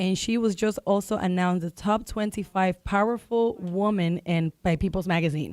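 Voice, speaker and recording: An animated woman with a Spanish accent talks at a moderate pace and a medium pitch, with hardly any pauses. The recording is very clean, with a silent background and a dry, close sound with no echo. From Dominican Republic. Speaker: realtor. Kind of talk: radio talk show guest promoting an event.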